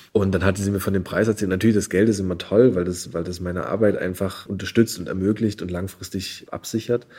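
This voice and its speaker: A man speaks at a very fast pace with hardly any pauses, his fairly low voice dark and mellow in tone and his intonation flat and monotone. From Saxony, eastern Germany (Görlitz). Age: 20s. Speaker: novelist. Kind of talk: interview.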